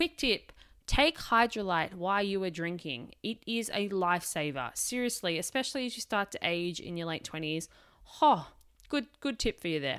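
A woman speaks at a moderate pace in an Australian accent, her medium pitch swinging very widely, on a very clean recording with a silent background. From Australia, Melbourne. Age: 20s. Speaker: podcast host. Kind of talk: solo podcast monologue. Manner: casual, chatty.

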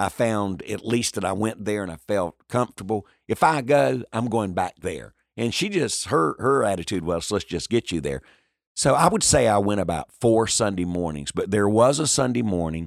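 A man with a North Carolina accent talks at a moderate pace with lively intonation and a fairly low pitch. The recording is very clean with a silent background and a dry, close sound with no echo. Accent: US Southern, North Carolina. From North Carolina, Lumbee community. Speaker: pastor and evangelist. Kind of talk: interview. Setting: in person. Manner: energetic.

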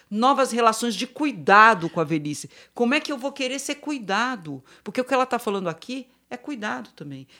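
A woman's fairly high, bright and sharp voice carries vocal fry and very wide pitch swings on a very clean recording with a silent background. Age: 50s. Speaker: psychologist and gerontologist. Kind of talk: panel discussion.

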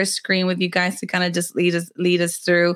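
This is a woman speaking. Her pitch is fairly low. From Texas, Rio Grande Valley. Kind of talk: online master class teaching. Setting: Facebook live video.

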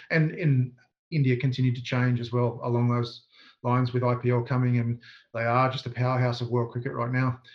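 Somewhat breathy, a man speaks at a medium pitch in a monotone with flat intonation. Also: fairly quick pace. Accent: Australian. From Australia, southeast Queensland. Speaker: sports coaching consultant. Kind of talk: interview.

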